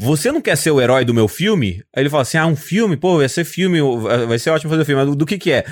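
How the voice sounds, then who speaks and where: A man talks at a very fast pace in a fairly high pitch. His loudness stays very even in a very clean recording with a silent background. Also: lively intonation. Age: 30s. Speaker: comedian. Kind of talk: casual chat.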